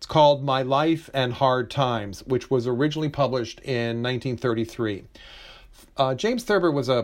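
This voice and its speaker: This man has an ordinary speaking voice, medium in pitch with ordinary pitch variation, talking at a moderate pace against a quiet background. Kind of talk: casual conversation about books.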